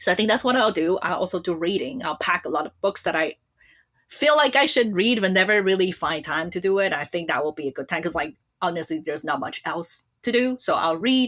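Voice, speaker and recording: With a Chinese accent, a woman speaks at a fairly quick pace in a medium pitch with lively intonation. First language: Mandarin Chinese. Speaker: podcast host. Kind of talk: casual chat. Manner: chatty.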